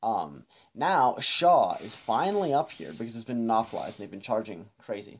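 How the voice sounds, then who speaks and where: A man speaks over light background noise. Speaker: van-life vlogger. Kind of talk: casual vlog chat. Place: car. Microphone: camera far.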